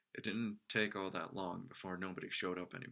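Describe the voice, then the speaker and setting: A man with a very deep, low pitch, a bright, sharp tone and a very fast pace. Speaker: amateur storyteller. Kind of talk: reading aloud. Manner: dramatic.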